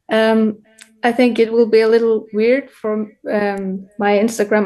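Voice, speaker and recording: A woman with an Icelandic accent speaks at a fairly high pitch. Her delivery is fairly slow, with monotone, flat intonation. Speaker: course participant. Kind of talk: audience question. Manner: halting.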